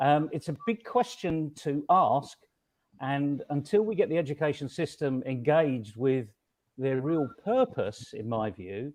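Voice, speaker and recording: Against a quiet background, a man speaks at a fairly slow pace with lively intonation and fairly high pitch. His is an unremarkable speaking voice. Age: 60s. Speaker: conference panelist. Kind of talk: panel discussion.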